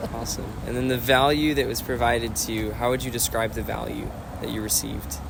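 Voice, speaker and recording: The speech moves at a very fast pace. Audible room echo and noticeable background noise are present. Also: man. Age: young. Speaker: window cleaning business owner. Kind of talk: interview.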